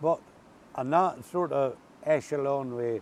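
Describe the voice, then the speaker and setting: A man talks with an Ulster accent. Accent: Ulster-Scots. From Northern Ireland. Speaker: water service worker. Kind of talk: casual conversational storytelling.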